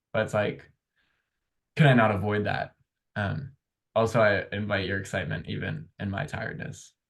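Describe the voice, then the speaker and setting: Vocal fry runs through speech with ordinary pitch variation, broken by long, frequent pauses. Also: man, fairly low pitch for a man, moderate pace. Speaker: podcast host. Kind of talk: casual chat.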